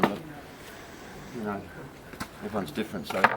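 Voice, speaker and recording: The speaker has a New Zealand accent, with noticeable background noise behind the voice. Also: man. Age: 60s. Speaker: bromeliad grower. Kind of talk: gardening demonstration. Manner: casual, relaxed.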